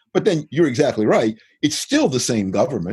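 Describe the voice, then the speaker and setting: This man has a medium pitch for a man. His tone is dark and mellow. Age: 60s. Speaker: economics professor. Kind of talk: interview.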